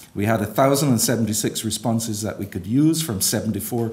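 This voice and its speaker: There is audible room echo around this man, whose medium-pitched voice shows ordinary pitch variation. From Barbados. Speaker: bishop, church leader. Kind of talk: conference speech.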